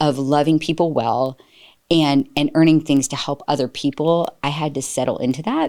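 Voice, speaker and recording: A dark, mellow tone with fairly even intonation at a moderate pace, in a very clean recording with a silent background. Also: woman. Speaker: staffing company leader. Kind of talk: interview conversation.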